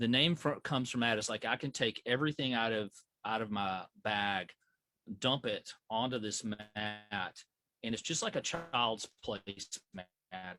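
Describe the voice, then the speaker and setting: With a Southern US accent, a man talks at a fairly slow pace in a medium pitch, his bright, sharp tone broken by long, frequent pauses and the sound dry and close with no echo. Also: ordinary pitch variation. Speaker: flight medical educator. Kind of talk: training class. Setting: video call. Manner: halting, repetitive fillers.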